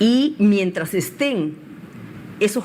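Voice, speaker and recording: A woman's voice at medium pitch. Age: 60s. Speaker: political candidate. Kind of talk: interview.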